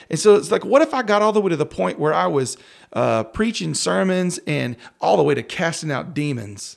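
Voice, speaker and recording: A man's fairly high voice in a West Texas accent, fairly quick and with very wide pitch swings, on a very clean recording with a silent background. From rural West Texas, near Crosbyton. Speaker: worship pastor. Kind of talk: casual interview.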